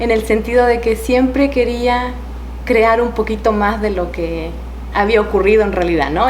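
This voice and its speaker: There is noticeable background noise and audible room echo. A woman talks at a moderate pace. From Chile. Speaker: novelist, former journalist. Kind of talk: interview.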